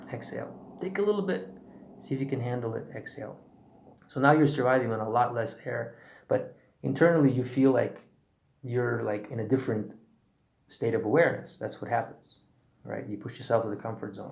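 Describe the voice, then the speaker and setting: Audible room echo surrounds a man with a medium pitch and vocal fry who talks at a fairly quick pace with long, frequent pauses, ordinary pitch variation and big swings in loudness. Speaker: breathwork teacher. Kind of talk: tutorial. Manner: fast.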